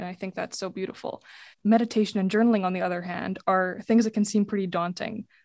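A woman speaks at a medium pitch in a flat monotone. The recording is very clean, with a silent background. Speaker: student guest host. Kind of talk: interview.

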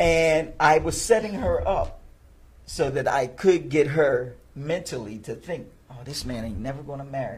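A man speaks with a fairly high pitch. Noticeable background noise and audible room echo surround him. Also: lively intonation, moderate pace. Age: 50s. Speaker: magician, retired firefighter. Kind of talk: casual interview.

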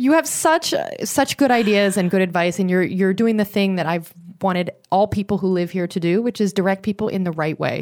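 On a very clean recording with a silent background, a woman uses a normal speaking voice at a fairly quick pace, medium in pitch with ordinary pitch variation. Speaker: podcast host. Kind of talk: casual interview.

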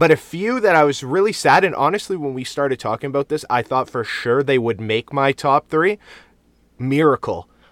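Dry and close with no echo, a man with a fairly high pitch speaks at a moderate pace in a plain, everyday voice with lively intonation. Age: 30s. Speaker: sports podcast co-host. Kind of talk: casual chat.

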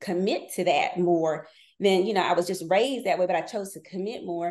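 A woman speaks in an American accent with a normal speaking voice. Her pitch is medium and her pace is moderate. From North Carolina. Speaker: business consultant. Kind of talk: casual chat.

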